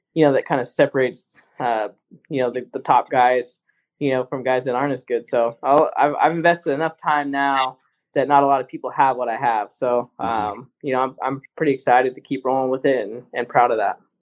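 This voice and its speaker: A man's normal speaking voice, medium in pitch, with fairly even intonation. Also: moderate pace. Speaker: racing driver. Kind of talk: casual interview.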